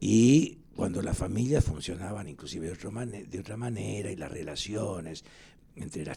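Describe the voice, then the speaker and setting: Somewhat breathy and dark, mellow in tone, this man's voice is fairly low in pitch. His intonation is lively. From Argentina, Lanús (Buenos Aires area). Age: 80s+. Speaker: historian. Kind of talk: interview. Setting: studio.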